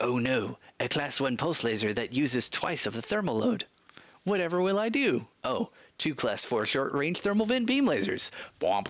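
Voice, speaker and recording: This man talks at a moderate pace with vocal fry, his pitch swinging very widely. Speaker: gaming streamer. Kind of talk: live gameplay stream with chat.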